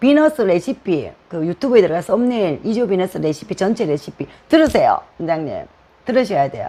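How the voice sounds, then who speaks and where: This woman talks at a moderate pace. Her pitch swings very widely. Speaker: hair styling instructor. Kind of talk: live-stream lecture. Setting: live stream. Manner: casual, conversational with frequent fillers.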